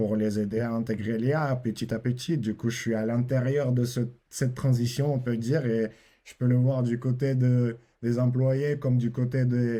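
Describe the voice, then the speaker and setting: With a Russian accent, a man talks fairly slowly in a dark, mellow tone and a flat monotone, captured on a very clean recording over a silent background. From Russia, then southern France. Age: 20s. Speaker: AI consulting entrepreneur. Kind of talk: podcast interview. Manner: halting, with hesitations.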